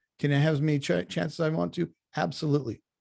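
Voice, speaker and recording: A man with a fairly high pitch speaks at a very fast pace in a somewhat breathy voice with a dark, mellow tone. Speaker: college instructor. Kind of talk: online class orientation. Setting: video call. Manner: animated.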